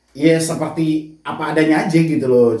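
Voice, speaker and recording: A man speaks with a fairly high pitch. Room echo is audible. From West Sumatra, Indonesia (Minangkabau). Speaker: YouTuber giving debt advice. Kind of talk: casual interview chat.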